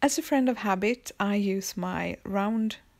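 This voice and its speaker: In a very clean recording with a silent background, a woman speaks with a Swedish accent. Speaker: planner hobby vlogger. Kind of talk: casual tutorial. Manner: halting.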